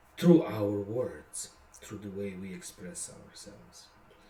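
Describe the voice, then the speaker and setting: A man speaks very slowly in a Bosnian accent, his dark, mellow tone moving through very wide pitch swings. Audible room echo surrounds his voice. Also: big swings in loudness. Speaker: songwriter. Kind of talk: casual monologue. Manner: hesitant, many fillers.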